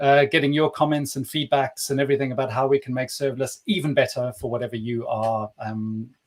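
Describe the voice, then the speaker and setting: Speaking with a South African accent, a man of fairly high pitch moves at a fairly quick pace with ordinary pitch variation. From South Africa, Cape Town. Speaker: developer advocate, livestream co-host. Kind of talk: casual live stream chat. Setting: live stream.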